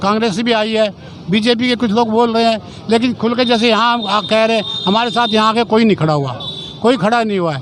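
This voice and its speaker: A man's high-pitched voice with ordinary pitch variation, at a moderate pace, over noticeable background noise. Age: 80s+. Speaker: retired workers' union secretary. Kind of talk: interview at protest.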